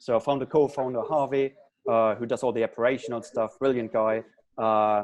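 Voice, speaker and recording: Speaking with a German accent, a man uses a medium pitch and fairly even intonation. His pace is fairly quick. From Germany. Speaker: startup founder. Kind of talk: panel interview.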